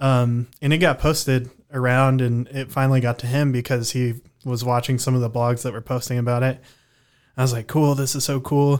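A man talks at a fairly quick pace in a monotone, flat voice. The recording is very clean, with a silent background. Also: medium pitch for a man. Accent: Texan. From Texas panhandle (Amarillo). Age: 20s. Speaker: musician. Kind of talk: casual chat.

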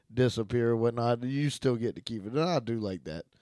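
An unremarkable speaking voice from a man, moderate in pace with ordinary pitch variation, on a very clean recording with a silent background. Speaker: podcast co-host. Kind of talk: casual chat.

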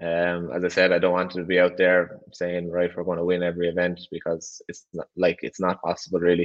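Very deep and low in pitch, a man speaks with an Irish accent. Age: 20s. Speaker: rally driver. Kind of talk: interview.

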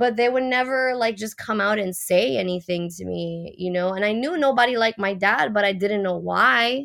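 A woman talks with a Puerto Rican accent. Her voice sits at a medium pitch. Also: ordinary pitch variation, moderate pace. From Puerto Rico. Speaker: professional mermaid and activist. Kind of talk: casual interview.

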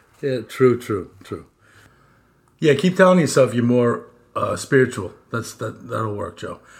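The speech is fairly slow, with long, frequent pauses. The intonation is lively and the voice somewhat breathy. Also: man, medium pitch for a man. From New York City, moved to Long Island as a kid. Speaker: podcast host in addiction recovery. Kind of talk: casual chat.

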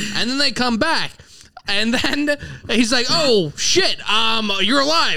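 A man's extremely high, raised and projected voice, lively in intonation, at a very slow pace. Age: 30s. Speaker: comedy podcast host. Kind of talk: casual chat. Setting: live venue stage.

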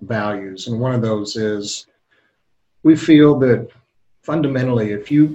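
Music plays in the background. Over it, a man speaks at medium pitch. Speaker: podcast co-host. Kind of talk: interview.

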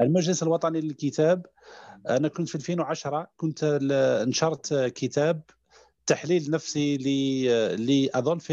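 Against a quiet background, a man talks at a very slow pace in a dark, mellow tone. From Algeria, Mila province. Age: 30s. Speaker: psychologist and sophrology trainer. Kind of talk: interview. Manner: halting, many hesitations.

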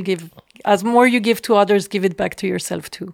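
A woman speaks at a moderate pace and medium pitch in a monotone, flat intonation. The recording is very clean with a silent background. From Switzerland. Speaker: photographer. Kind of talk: interview. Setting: studio. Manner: halting.

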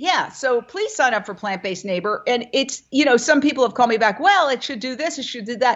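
A woman's high voice in an American accent, fairly quick and lively in intonation, with big swings in loudness and hardly any pauses. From New York City (Manhattan). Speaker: vegan media founder and former broadcaster. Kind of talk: interview.

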